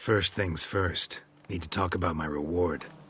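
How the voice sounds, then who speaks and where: A man uses a put-on character voice. It is raspy and very deep, with a low pitch. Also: moderate pace. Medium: video game. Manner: terse, clipped, drops subjects.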